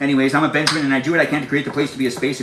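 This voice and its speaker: A man talks at a fairly high pitch over noticeable background noise. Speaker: live streamer. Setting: home kitchen. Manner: fast talker.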